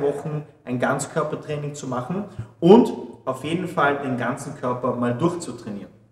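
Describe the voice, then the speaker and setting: Audible room echo colors this recording. The man keeps to a moderate pace. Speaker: fitness trainer. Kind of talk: tutorial. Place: gym.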